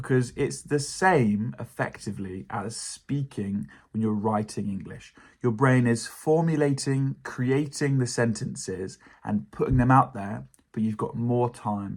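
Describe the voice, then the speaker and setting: A man with a British accent speaks at a fairly slow pace. His pitch sits in the middle range, and his intonation is lively. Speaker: English teacher. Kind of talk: educational talk to camera.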